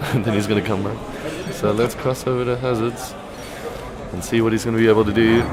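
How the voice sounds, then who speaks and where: A man's medium-pitched voice in a monotone, flat intonation, with music in the background and audible room echo. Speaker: esports commentator. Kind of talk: live commentary. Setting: live event venue next to players. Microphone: stream recording, poor quality.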